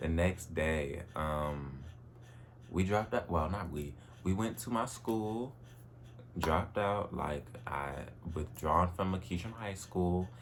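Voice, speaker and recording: A man's very deep, low voice, fairly slow and animated, with ordinary pitch variation, audible room echo and noticeable background noise. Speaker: vlogger. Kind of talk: personal vlog monologue. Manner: casual, animated.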